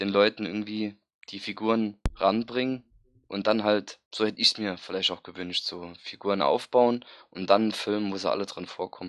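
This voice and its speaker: In a normal speaking voice, a man talks at a moderate pace with fairly low pitch and fairly even intonation against a quiet background. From Saarland, near Saarbrücken. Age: 20s. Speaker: fan forum member, podcast guest. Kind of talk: casual chat.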